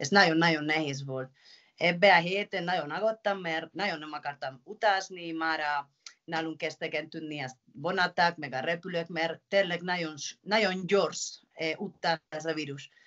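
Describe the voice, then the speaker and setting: A woman with a Spanish accent talks at a fairly slow pace in a fairly low pitch, her intonation fairly even against a quiet background. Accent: Spanish-accented Hungarian. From Spain, Pamplona (Navarre). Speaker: professional handball player. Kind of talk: interview. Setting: video call. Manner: halting. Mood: earnest, somewhat concerned. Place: home room. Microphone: video call.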